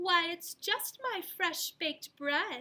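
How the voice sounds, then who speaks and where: In a put-on character voice, a woman speaks at an extremely high pitch. Her pace is very slow. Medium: read story. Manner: patient, determined.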